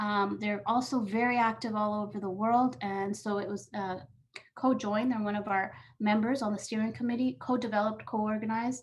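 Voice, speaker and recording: A woman talks at a fairly quick pace with a fairly high, somewhat breathy voice. Her intonation stays fairly even. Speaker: UN program staff presenter. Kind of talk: webinar presentation. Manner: fast.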